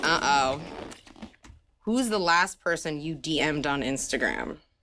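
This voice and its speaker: Woman with a New Jersey accent, a very deep, low pitch and ordinary pitch variation. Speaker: music channel interviewer. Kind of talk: interview. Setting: studio.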